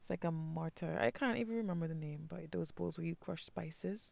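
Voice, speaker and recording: A woman talks with a very deep, low pitch in a West Indian accent. Her tone is dark and mellow, and her pace is moderate. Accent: West Indian, some twang. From Caribbean (West Indies). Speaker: art channel creator. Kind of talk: sketching voiceover. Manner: casual, hesitant with fillers.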